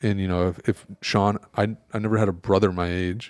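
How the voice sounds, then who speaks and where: A man talks with an American accent in a very deep, low pitch. His intonation is monotone and flat. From Michigan. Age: 30s. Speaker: podcast co-host, former hockey player. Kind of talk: casual chat.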